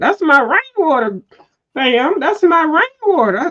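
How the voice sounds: A put-on character voice with a slight Southern US accent, very wide pitch swings, and a fairly slow pace. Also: female-sounding voice, extremely high pitch for a woman. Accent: light southern.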